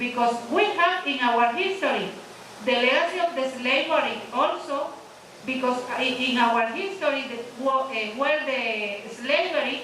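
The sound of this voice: At a fairly slow pace with few pauses, a woman speaks at high pitch with a fairly bright tone and ordinary pitch variation amid audible room echo.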